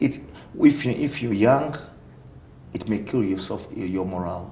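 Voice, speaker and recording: With a strong Ugandan accent, a man speaks at a moderate pace and fairly low pitch, somewhat breathy, with lively intonation and audible room echo. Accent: thick African (Ugandan). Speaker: aerospace engineering consultant. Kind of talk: interview.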